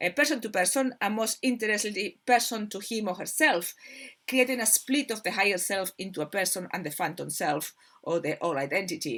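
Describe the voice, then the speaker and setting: A woman with a Spanish accent talks at a fairly quick pace and medium pitch. Her intonation is lively. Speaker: spiritual channel host. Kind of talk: informal spiritual talk, partly reading. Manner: halting, many fillers and repetitions.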